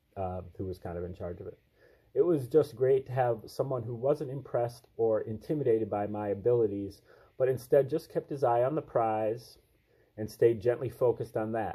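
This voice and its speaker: At a moderate pace, the voice sounds somewhat breathy with a dark, mellow tone. The background is quiet. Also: man. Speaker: channel host. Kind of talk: reading aloud with commentary. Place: home room. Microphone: webcam.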